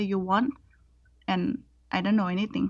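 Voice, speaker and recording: Speaking at a moderate pace in a Thai accent, a woman keeps a medium pitch and fairly even intonation over a quiet background. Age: 20s. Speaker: scholarship student. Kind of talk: interview, casual chat. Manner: hesitant, non-fluent English.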